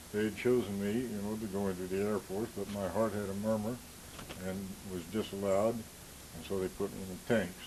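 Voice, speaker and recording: A man with an American accent, fairly low in pitch, monotone and flat, at a fairly quick pace over noticeable background noise. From US Midwest, central Illinois. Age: 70s. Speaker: war veteran. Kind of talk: oral history interview.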